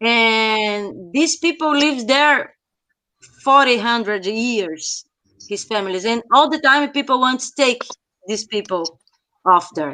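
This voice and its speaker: Speaking at a very slow pace with long, frequent pauses, a woman with a Brazilian Portuguese accent uses a fairly high pitch and a bright, sharp tone. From Brazil, São Paulo State coast (caiçara). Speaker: researcher of popular culture. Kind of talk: casual chat. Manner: halting.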